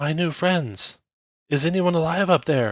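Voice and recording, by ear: A man puts on a character voice at a fairly high pitch. He speaks at a moderate pace with ordinary pitch variation.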